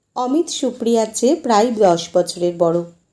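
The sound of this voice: An unforced reading voice is heard. It reads text aloud.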